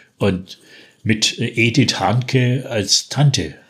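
A man with a Franconian accent sounds somewhat breathy, with ordinary pitch variation. The recording is very clean, with a silent background. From Franconia, Bavaria. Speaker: dialect poet. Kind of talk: poetry reading.

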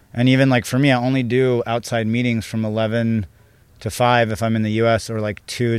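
A man speaks in a Californian accent at a medium pitch. His delivery is monotone and flat, at a moderate pace. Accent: Californian American. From San Diego, US. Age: 30s. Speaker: business coach. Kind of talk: interview conversation. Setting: in person, Ibiza.

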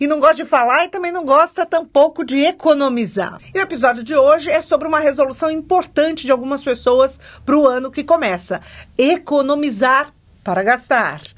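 The delivery comes at a moderate pace with an animated tone and ordinary pitch variation. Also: woman, high pitch for a woman. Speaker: podcast co-host. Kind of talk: casual chat.

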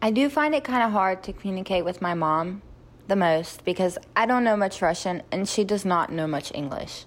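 Lively in intonation, a woman's medium-pitched voice moves at a moderate pace. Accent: North Carolina. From US South. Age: 20s. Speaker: adoptee sharing her story.

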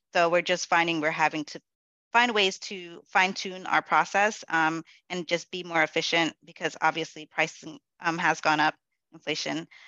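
This woman has a normal speaking voice with an American accent. Her pitch is fairly low, and her intonation is fairly even. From New York City, the Bronx. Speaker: corporate event manager. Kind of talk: interview.

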